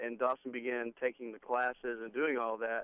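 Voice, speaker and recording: With a Southern US accent, a man talks at a fairly quick pace and a medium pitch. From Texas. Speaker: rock band lead singer. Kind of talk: interview. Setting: phone call.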